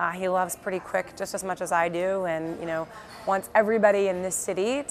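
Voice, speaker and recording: With an American accent, a woman speaks at a medium pitch and moderate pace while music plays in the background. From US South, Birmingham, Alabama. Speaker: entrepreneur, company founder. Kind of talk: interview. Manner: casual with many fillers.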